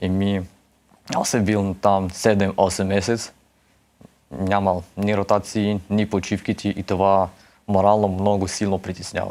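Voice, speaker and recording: In a monotone, flat intonation, a man with a fairly low pitch speaks at a fairly slow pace. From Bessarabia, Ukraine. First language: Russian (speaking Bulgarian). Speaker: war veteran. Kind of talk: interview testimony. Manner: halting.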